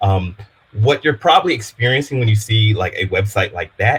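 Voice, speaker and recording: Somewhat breathy, a man with an American accent talks at a fairly low pitch. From Louisiana, US South (Baton Rouge). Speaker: developer advocate. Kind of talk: technical workshop presentation. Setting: live-streamed online meetup. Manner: casual, filler-heavy.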